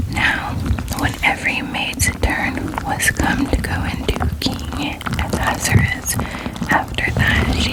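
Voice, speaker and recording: A whispering voice has a gentle, calm tone at a very slow pace. Noticeable background noise is present. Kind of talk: ASMR Bible reading, bedtime relaxation. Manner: whispered, gentle, calm.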